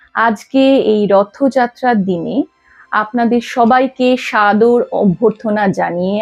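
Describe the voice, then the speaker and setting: A woman's voice shows ordinary pitch variation while music plays behind her. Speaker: poetry reciter. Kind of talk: casual talk to camera.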